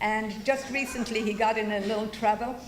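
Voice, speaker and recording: In a room with audible echo, a woman speaks in a fairly high, monotone voice with flat intonation. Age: 70s. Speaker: event host introducing speakers. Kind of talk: speech introducing a speaker at a political rally. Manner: casual, unscripted.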